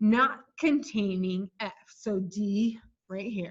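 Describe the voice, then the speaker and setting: A woman's voice, fairly high in pitch and somewhat breathy. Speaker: math teacher. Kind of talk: lecture. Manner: slow.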